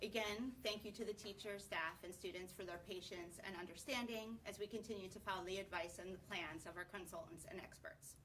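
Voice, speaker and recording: Over noticeable background noise, a woman at a medium pitch talks fairly quickly with hardly any pauses and ordinary pitch variation. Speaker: school board chair. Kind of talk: public meeting chairing. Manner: loud. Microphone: poor broadcast sound quality.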